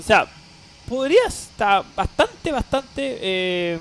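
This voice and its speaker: A man talks in a dry, close sound with no echo, with noticeable background noise behind him. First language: Spanish. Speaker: flight simulator streamer. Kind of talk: live stream tutorial. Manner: halting with many fillers.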